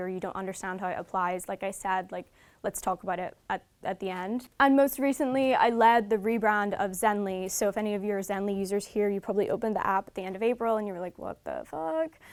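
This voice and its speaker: Hardly pausing at all, a woman talks at a very fast pace and medium pitch with ordinary pitch variation, in a very clean recording with a silent background. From Northern Ireland. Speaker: brand marketing lead. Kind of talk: lecture. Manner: casual, conversational.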